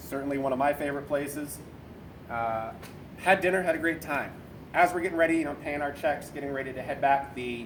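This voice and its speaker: At a fairly quick pace, a speaker with an American accent keeps a fairly even intonation amid audible room echo and noticeable background noise. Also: man, fairly high pitch for a man. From Boston area, New England. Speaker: navy corpsman sharing suicide survival story. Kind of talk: personal testimony talk. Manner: conversational, with filler words.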